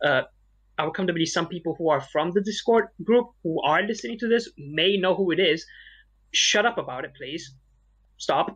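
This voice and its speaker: With a Malaysian accent, a high-pitched man speaks at a moderate pace with lively intonation and long, frequent pauses against a quiet background. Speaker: podcast co-host. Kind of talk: casual chat.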